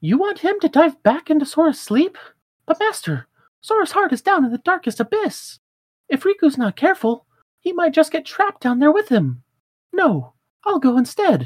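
High-pitched and put on as a character voice, the speech goes at a moderate pace with long, frequent pauses. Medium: game stream. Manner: earnest, encouraging.

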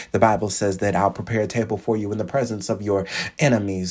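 A man's fairly low voice with a warm, animated tone. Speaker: preacher and motivational podcaster. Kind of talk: sermon-style motivational preaching. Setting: podcast recording. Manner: animated, exhorting, call-and-response, repeating phrases for emphasis; warm, encouraging, fervent.

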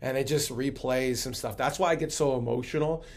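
A man speaks at a medium pitch. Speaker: pastor. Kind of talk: casual interview chat. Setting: online broadcast.

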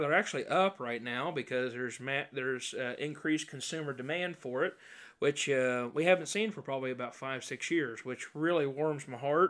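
A man with an American accent, a normal speaking voice and fairly high pitch speaks at a moderate pace with ordinary pitch variation, in a very clean recording with a silent background. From Indiana, rural farm. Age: 20s. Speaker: podcast host and pastor, cattle farmer. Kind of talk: casual chat.

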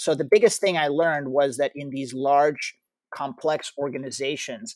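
Over a silent background in a very clean recording, a man with a fairly high pitch speaks at a moderate pace with ordinary pitch variation. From Ukraine, moved to US at 12. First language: Russian. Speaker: tech startup founder and CEO. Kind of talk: interview. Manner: halting, with frequent repetitions.

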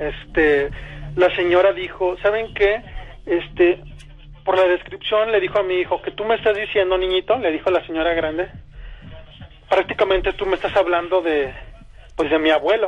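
Over noticeable background noise, a high-pitched man speaks at a moderate pace with fairly even intonation and long, frequent pauses. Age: 30s. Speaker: caller. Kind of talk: testimony.

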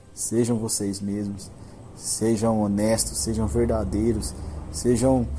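Music plays in the background as a man speaks in a fairly low pitch. His intonation is fairly even, and room echo is audible. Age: 20s. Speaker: podcast host. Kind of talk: monologue.

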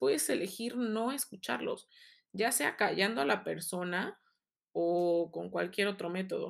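Recorded very cleanly over a silent background, a woman uses a normal speaking voice at a medium pitch and a fairly slow pace. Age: 30s. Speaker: podcast host. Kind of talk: personal monologue.

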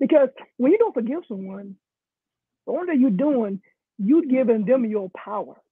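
A man with an American accent and an extremely high pitch, lively intonation, and long, frequent pauses. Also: moderate pace. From South Carolina, US South. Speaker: coach, guest sharing testimony. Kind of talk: testimony, interview. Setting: live stream.

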